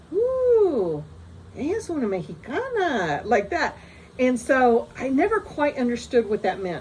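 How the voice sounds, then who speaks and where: A woman talks rather slowly, her pitch rising and falling enormously, against clearly audible background noise. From US, moved around. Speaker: storyteller vlogger. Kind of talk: personal anecdote. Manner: casual, many fillers and restarts.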